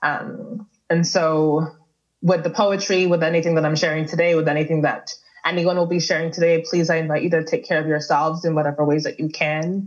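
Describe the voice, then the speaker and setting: With an ordinary speaking voice, a woman talks at a fairly quick pace, her intonation fairly even and her loudness very even. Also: fairly low pitch for a woman. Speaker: artist and activist giving keynote. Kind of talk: keynote speech. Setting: webinar video call.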